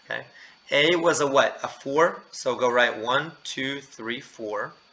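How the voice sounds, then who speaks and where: A man at a very slow pace, with noticeable background noise behind him. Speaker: math teacher. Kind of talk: lecture.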